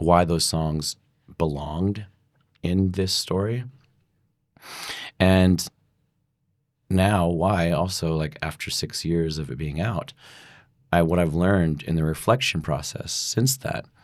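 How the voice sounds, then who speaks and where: On a very clean recording with a silent background, a man with an American accent speaks at a very slow pace in a very deep, low pitch, with ordinary pitch variation and long, frequent pauses. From US Pacific Northwest, Oregon. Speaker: musician. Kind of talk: casual chat. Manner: halting, many fillers.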